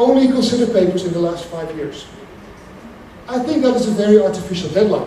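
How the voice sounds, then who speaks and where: A man with a high pitch and a Dutch accent at a fairly quick pace, with audible room echo and noticeable background noise. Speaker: academic lecturer. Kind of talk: lecture. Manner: hesitant with frequent fillers and restarts.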